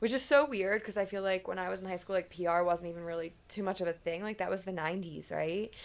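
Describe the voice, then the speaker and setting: On a very clean recording with a silent background, a woman with a Philadelphia accent speaks at a medium pitch with fairly even intonation. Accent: Philadelphia-area American. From US Northeast, Philadelphia suburbs. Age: 40s. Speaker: podcast host, PR agency owner. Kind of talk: casual chat.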